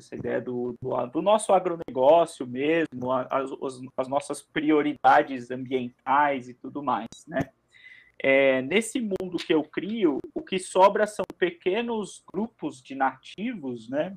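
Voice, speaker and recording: A man with a fairly high pitch speaks at a very slow pace with lively intonation. The background is quiet and the sound is dry and close, with no echo. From São Paulo, Brazil. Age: 30s. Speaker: Portuguese teacher and writer. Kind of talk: live stream interview.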